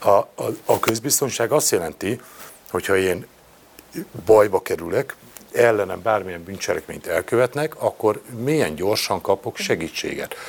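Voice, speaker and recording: Long, frequent pauses break up a man's speech, which otherwise runs at a moderate pace. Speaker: opposition member of parliament. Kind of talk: panel discussion.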